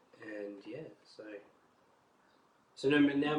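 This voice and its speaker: This man's voice has a somewhat breathy quality. His pitch sits at a medium level. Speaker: collector. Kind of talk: casual talk to camera.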